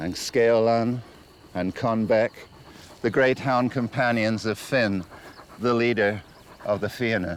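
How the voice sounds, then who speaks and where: Delivered fairly slowly, the speech keeps a fairly even intonation. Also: man. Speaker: writer and TV host. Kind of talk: documentary narration. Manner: poetic, nearly hypnotic.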